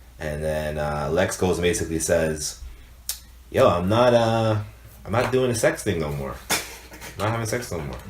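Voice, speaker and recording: A man speaks at a very deep, low pitch and a moderate pace with lively intonation. Audible room echo and noticeable background noise are present. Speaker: podcast co-host. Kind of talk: casual chat.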